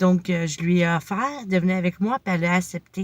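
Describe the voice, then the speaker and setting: A woman with a Quebec accent speaks somewhat breathily at a medium pitch and moderate pace, with ordinary pitch variation, on a very clean recording with a silent background. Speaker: motivational vlogger. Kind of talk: casual vlog monologue.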